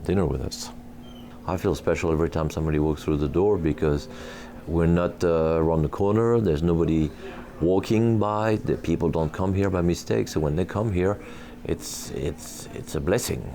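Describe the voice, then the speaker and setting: Over noticeable background noise, a man with a very deep voice talks at a fairly quick pace with ordinary pitch variation. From France. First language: French. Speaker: restaurant owner and chef. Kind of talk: interview. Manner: hesitant with fillers.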